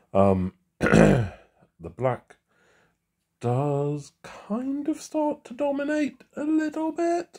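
A man puts on a squeaky character voice at an extremely high pitch. He talks very slowly, with long, frequent pauses.

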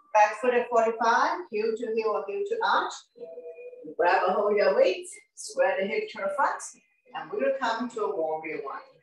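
With audible room echo, a woman talks at a moderate pace using lively intonation. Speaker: fitness instructor. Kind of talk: guided workout instruction. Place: home room. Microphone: camera far.

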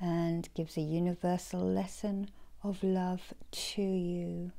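Over a quiet background, a voice with a gentle, soothing tone moves at a very slow pace. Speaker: Reiki healer and oracle card reader. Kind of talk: guided meditation. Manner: slow, soothing, calm; gentle, repetitive, dreamy. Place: home room. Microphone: phone near.

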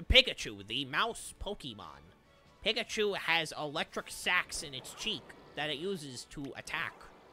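A man performs in a put-on character voice. It sits fairly high for a man and moves at a moderate pace. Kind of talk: flat, informative, encyclopedic.

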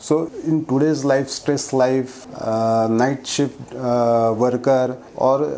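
Light background noise accompanies a man whose intonation stays fairly even. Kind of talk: health explainer talk to camera. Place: office. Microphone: lapel.

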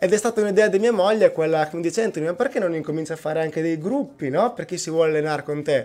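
A man speaks in a high register, and his pitch varies in an ordinary way. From Italy, Cattolica (Rimini), Emilia-Romagna; Emilia-Romagna, Italy. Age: 30s. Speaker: personal trainer. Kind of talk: radio interview. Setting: radio studio. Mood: relaxed, smiling. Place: studio. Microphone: studio mic.

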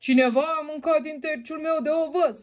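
Pitching his voice extremely high, a man performs a put-on character voice.

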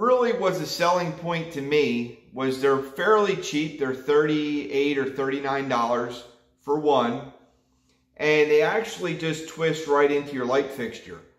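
A man speaks at a fairly slow pace. Audible room echo comes through over a quiet background. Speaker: fishing vlogger. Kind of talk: casual vlog chat.

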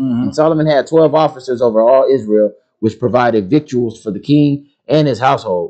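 Here is a plain, everyday voice. The rise and fall of its pitch is typical. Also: man. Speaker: congregation member. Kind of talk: reading aloud.

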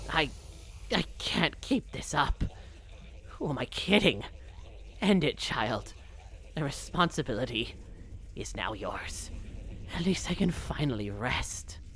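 In a put-on character voice with a menacing, weary tone, the speaker goes at a fairly slow pace with long, frequent pauses over clear background noise. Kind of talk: comic let's-play dialogue reading. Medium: game stream. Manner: menacing, then weary and desperate.

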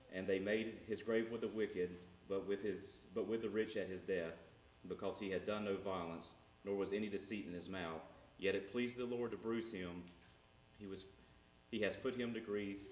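A man's fairly low voice with fairly even intonation, a moderate pace, long, frequent pauses, audible room echo and light background noise. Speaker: preacher. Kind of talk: scripture reading in a sermon. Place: church.

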